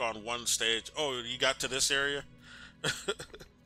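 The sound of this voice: The reading here comes in an unforced voice.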